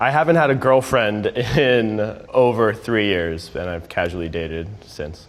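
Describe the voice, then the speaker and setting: A man with an American accent speaks at a fairly slow pace in a fairly low pitch, his intonation lively and the room echo audible. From US Northeast (Connecticut). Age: 30s. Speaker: actor and server on a blind date. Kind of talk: interview monologue.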